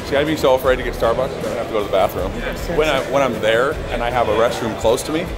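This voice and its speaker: A man talks very fast while clear music plays behind him. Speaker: vlog host. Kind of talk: casual vlog chat. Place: hall. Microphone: phone near.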